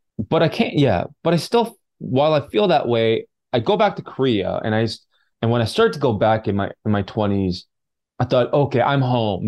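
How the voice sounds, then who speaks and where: Over a quiet background comes an unremarkable speaking voice with a Canadian accent. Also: man. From British Columbia, Canada (Vancouver suburbs and Vancouver Island). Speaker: filmmaker and actor. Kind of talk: interview conversation.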